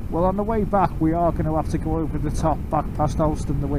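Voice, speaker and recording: Loud background noise sits under a man who speaks at a fairly quick pace. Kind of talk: casual chat over intercom. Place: motorbike. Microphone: helmet.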